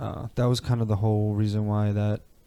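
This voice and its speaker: Speaking in a New York accent, a man keeps a fairly quick pace at medium pitch with a dark, mellow tone. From New York (Canarsie, Brooklyn and Long Island). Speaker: rapper. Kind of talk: podcast interview. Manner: casual, with many fillers.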